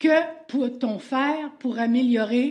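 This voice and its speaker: In a Quebec accent, a woman speaks with a high, dark, mellow voice and ordinary pitch variation. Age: 70s. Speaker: citizen addressing council. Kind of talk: public question period.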